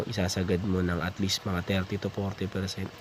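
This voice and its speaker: A man talks over noticeable background noise. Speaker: motorcycle vlogger. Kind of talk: tutorial. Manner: halting, many fillers.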